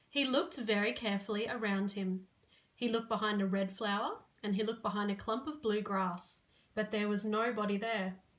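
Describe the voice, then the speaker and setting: The voice moves at a fairly quick pace, keeping very even loudness and ordinary pitch variation. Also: woman, fairly high pitch for a woman. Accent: Australian. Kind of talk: children's story reading.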